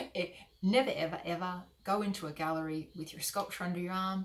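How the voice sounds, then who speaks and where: Fairly quick speech from a woman with an Australian accent. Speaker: artist mentor. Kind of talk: tutorial. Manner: fast.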